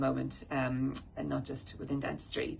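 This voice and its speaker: A woman speaks with vocal fry and an Irish accent. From Ireland. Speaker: dental practice owner and manager. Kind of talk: corporate presentation. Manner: halting, many fillers.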